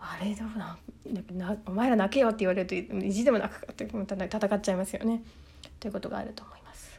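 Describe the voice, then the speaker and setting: Speaking at a very fast pace, a woman has a medium pitch and a somewhat breathy, dark, mellow tone. Her intonation is fairly even, but her loudness swings widely. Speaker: solo podcaster. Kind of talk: casual solo monologue.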